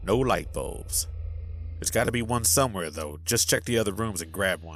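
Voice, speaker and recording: A man's very deep, low voice at a fairly quick pace, with ordinary pitch variation and music in the background. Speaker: author. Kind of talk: audiobook character dialogue.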